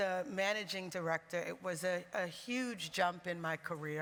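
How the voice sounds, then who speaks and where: A woman's fairly low voice in a New York accent, moderate in pace, with ordinary pitch variation. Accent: New York American. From US, New York. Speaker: music label managing director. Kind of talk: panel discussion. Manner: animated.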